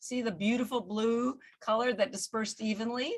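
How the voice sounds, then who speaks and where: Animated and fairly quick, a woman talks with a fairly high pitch. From Canada. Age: 60s. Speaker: company founder and wellness entrepreneur. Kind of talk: interview.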